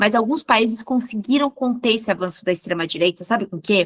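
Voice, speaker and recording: In a plain, everyday voice, a woman with fairly high pitch and lively intonation speaks over a quiet background, the sound dry and close with no echo. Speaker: professor. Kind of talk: interview.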